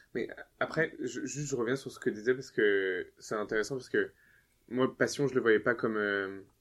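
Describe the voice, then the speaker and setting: Medium pitch, ordinary pitch variation and a moderate pace from a man, in a normal speaking voice. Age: 20s. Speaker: university student. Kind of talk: casual chat.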